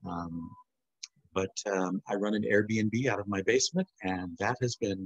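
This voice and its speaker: Here is a normal speaking voice: a man with an American accent talks at a fairly slow pace and a fairly low pitch, with ordinary pitch variation and a dry, close sound with no echo. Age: 60s. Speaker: alumna. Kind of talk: casual chat. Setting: video call.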